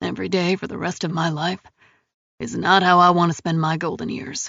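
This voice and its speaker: A put-on character voice at a middle pitch moves along at a fairly quick pace. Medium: read story. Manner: gruff, clipped, profane.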